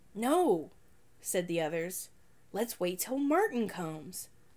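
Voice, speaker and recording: A woman speaks at a fairly slow pace. Her pitch sits in the middle range. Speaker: storytelling channel narrator. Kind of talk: ghost story read aloud from a children's horror book. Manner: measured, suspense-building narration with pauses; playful, breaks into a laugh at the punchline. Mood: spooky storytelling tone. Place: home room. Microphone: phone near.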